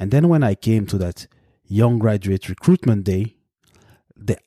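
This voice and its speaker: A man with a French accent speaks at a fairly slow pace, his fairly low pitch carrying a dark, mellow tone and lively intonation. The sound is dry and close with no echo on a very clean recording with a silent background. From Belgium. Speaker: podcast host, consultant. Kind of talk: solo podcast monologue. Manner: hesitant, with frequent fillers.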